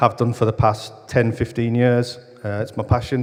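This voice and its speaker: A man speaks at a moderate pace with a northern English accent. His pitch sits in the middle range. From northern England. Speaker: academic researcher in football business. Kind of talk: conference talk.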